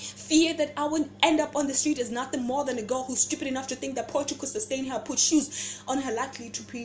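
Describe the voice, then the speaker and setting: Over music in the background, a woman talks at a fairly quick pace in a high pitch. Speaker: spoken word poet. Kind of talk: spoken word poetry performance.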